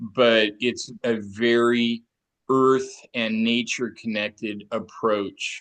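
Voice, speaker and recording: Over a quiet background, a man speaks at a very slow pace. His pitch is medium and his intonation fairly even. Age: 60s. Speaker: therapist. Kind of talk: interview conversation.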